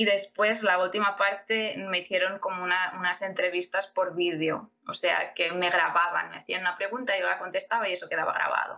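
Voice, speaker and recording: A woman at medium pitch speaks with monotone, flat intonation and hardly any pauses. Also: moderate pace. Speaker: immigrant and MBA student. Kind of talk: interview.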